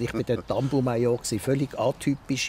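A man's dark, mellow tone, dry with no echo, over light background noise. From Basel, Switzerland (Kleinbasel); Switzerland. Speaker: radio journalist and media professional; radio journalist. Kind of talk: interview. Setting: outdoors in a garden. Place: garden.

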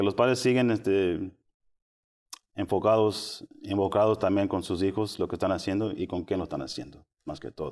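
A man's fairly low voice with ordinary pitch variation, a moderate pace, long and frequent pauses, and a quiet background. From Austin, Texas. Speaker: school parent support specialist; guest. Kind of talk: interview. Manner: halting. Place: studio. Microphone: lapel.

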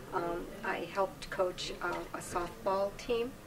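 Noticeable background noise behind a woman speaking. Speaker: guest. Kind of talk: interview answer. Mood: warm, reminiscing, occasional laughs. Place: home room.

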